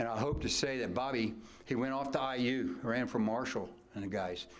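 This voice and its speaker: Speaking at a moderate pace, a man is heard with audible room echo. Noticeable background noise runs underneath. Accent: American. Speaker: retired track coach. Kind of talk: acceptance speech. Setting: banquet hall with audience. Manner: loud; animated.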